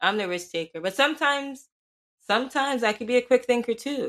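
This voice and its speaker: With an American accent and a normal speaking voice, a woman talks at a fairly quick pace, fairly high in pitch with lively intonation. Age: 20s. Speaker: podcast co-host. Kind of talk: casual chat.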